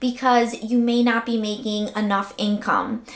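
A woman speaks in a high voice against a quiet background, with audible room echo. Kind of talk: tutorial. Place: home room.

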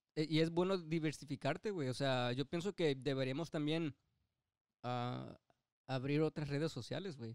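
A man with a plain, everyday voice speaks at a moderate pace with fairly high pitch and ordinary pitch variation, in a dry, close recording with no echo. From Mexico, Nayarit. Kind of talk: casual chat.

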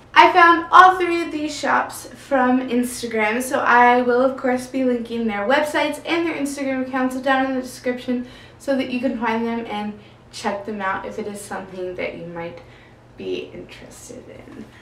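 Amid light background noise and audible room echo, a woman speaks at a high pitch. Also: moderate pace, big swings in loudness. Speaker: book vlogger. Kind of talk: casual vlog chat. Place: home room.

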